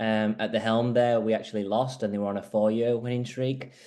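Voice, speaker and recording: A man with a Yorkshire accent, dark and mellow in tone, monotone and flat, at a fairly quick pace. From northern England, Huddersfield. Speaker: squash coach. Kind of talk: interview, video call presentation.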